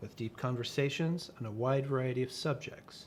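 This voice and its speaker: A man speaks at a fairly quick pace, his voice somewhat breathy and his intonation lively. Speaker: interview host. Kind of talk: interview host, conversational.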